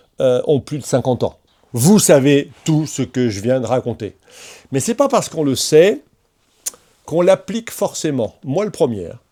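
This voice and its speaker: A man's fairly high voice with a dark, mellow tone, very wide pitch swings, a fairly slow pace, and long, frequent pauses. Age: 60s. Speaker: motorcycle vlogger. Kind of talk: vlog monologue.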